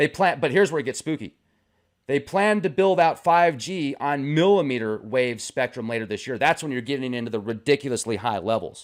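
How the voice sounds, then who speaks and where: A man's fairly high, animated voice with lively intonation at a fairly quick pace, on a very clean recording with a silent background. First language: not English. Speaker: conspiracy theory YouTuber. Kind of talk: casual commentary with reading aloud.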